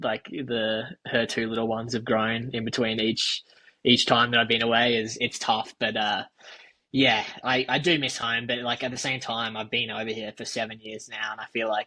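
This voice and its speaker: Using an Australian accent, a man at medium pitch talks at a moderate pace in a bright, sharp tone with monotone, flat intonation. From Australia, Alice Springs. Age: 20s. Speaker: professional runner. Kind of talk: casual chat.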